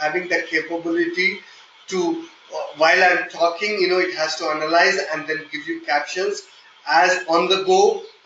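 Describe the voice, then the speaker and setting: A high-pitched man with a slight Indian accent, monotone and flat, at a moderate pace over noticeable background noise. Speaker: software testing trainer. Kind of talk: live online training session. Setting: online meeting. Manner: hesitant, with fillers.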